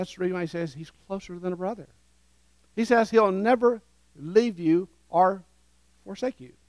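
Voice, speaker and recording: Against a quiet background, a man with a Southern US accent speaks in a warm, animated tone at a high pitch, with ordinary pitch variation, big swings in loudness, a moderate pace and long, frequent pauses. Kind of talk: sermon with call-and-response. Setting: church with congregation. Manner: animated, interactive, leads the congregation in repeating phrases; warm, urgent, exhorting. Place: church. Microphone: headset.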